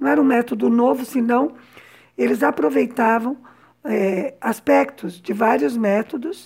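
Her fairly high voice carries vocal fry. This woman's pitch swings very widely. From São Paulo, Brazil. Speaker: podcast host and translator. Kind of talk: personal storytelling podcast.

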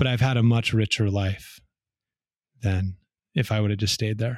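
Captured in a very clean recording against a silent background, a man speaks at a fairly quick pace with ordinary pitch variation. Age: 40s. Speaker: artist and former tech designer. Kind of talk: casual chat.

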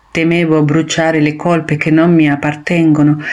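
The speaker talks at a moderate pace with an Argentine accent. Noticeable background noise runs through the clip. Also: woman. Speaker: poet. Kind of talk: reading aloud.

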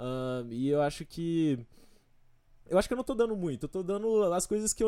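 On a very clean recording with a silent background, a man with a dark, mellow tone speaks at a moderate pace and with lively intonation. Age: 20s. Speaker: engineering student. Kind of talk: casual chat.

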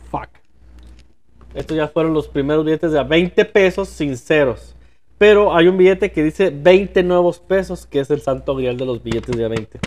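At a moderate pace, a man talks in a normal speaking voice, fairly high in pitch, with ordinary pitch variation. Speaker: podcast co-host. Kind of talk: casual chat.

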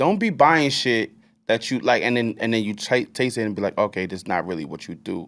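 A man speaks in a plain, everyday voice at a fairly quick pace with lively intonation. The recording is very clean with a silent background. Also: medium pitch for a man. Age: 30s. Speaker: podcast host. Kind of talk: casual chat.

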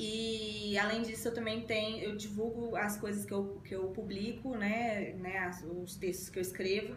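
A woman's monotone, flat voice at a fairly slow pace with hardly any pauses, with audible room echo and noticeable background noise. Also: medium pitch for a woman. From Brazil, Belo Horizonte, Minas Gerais. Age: 20s. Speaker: lawyer. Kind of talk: interview. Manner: halting.

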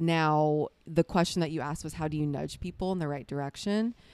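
A woman speaks in a fairly low pitch with an American accent and ordinary pitch variation, in a plain, everyday voice. The recording is very clean, with a silent background. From US South. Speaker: ministry leader. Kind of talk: casual chat.

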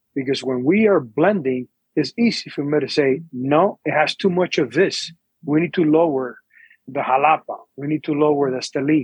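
A man with an unremarkable speaking voice talks at a moderate pace and a fairly high pitch. The pitch varies in an ordinary way, and the sound is dry and close with no echo. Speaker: cigar company owner. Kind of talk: interview.

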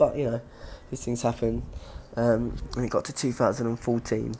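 A man's dark, mellow voice with vocal fry and a London accent at a moderate pace. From London, England. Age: 20s. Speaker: gymnast. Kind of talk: casual monologue podcast.

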